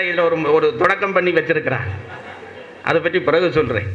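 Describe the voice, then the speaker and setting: The speaker has a Sri Lankan accent, with noticeable background noise behind the voice. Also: man. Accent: Sri Lankan Tamil. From Sri Lanka, Jaffna. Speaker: orator. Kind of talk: public lecture.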